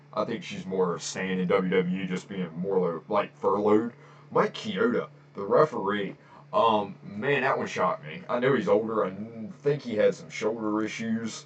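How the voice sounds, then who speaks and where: A man with a fairly low voice talks fairly slowly while noticeable background noise continues. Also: lively intonation. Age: 30s. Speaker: wrestling podcaster. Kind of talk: casual solo podcast. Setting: home recording, on camera. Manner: casual, filler-heavy.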